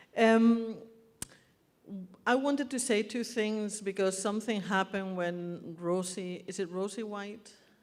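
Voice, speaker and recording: In a Spanish accent, the speaker talks at a fairly slow pace with fairly even intonation, and audible room echo surrounds the voice. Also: woman, medium pitch for a woman. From Spain. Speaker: birth activist and speaker. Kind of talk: public speech. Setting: stage with audience.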